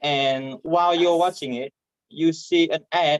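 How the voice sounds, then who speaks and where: Someone with a Vietnamese accent talks at a fairly slow pace. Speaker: comedian. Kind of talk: stand-up. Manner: halting.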